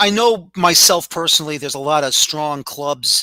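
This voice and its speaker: A man's fairly high voice with a New York accent, a bright, sharp tone and a moderate pace, the sound dry and close with no echo. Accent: New York City. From New York City (the Bronx). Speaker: podcast host. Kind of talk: interview.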